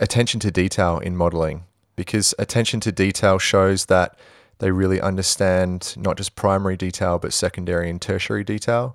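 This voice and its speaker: A man's very deep, low voice in an Australian accent, at a fairly quick pace with fairly even intonation, on a very clean recording with a silent background. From Western Australia, Perth. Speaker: visual effects supervisor. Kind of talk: interview.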